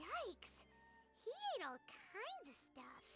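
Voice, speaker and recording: A squeaky, put-on character voice at an extremely high pitch speaks at a fairly slow pace over clear background noise. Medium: video game. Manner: expressive, exclamatory.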